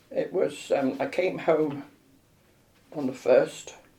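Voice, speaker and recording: A woman with a London accent speaks at a very slow pace. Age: 90s. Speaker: elderly patient. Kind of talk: interview.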